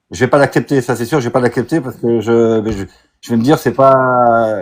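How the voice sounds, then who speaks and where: Here a man is speaking. His pace is fairly quick. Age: 60s. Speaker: caller. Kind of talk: heated debate. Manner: halting.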